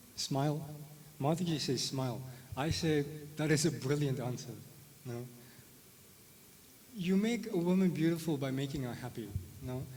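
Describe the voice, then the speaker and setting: Somewhat breathy and dark, mellow in tone, a man speaks at a fairly high pitch and moderate pace with ordinary pitch variation, long, frequent pauses and audible room echo. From South Africa. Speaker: spirituality teacher. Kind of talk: lecture. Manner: hesitant, many fillers; conversational, tag questions.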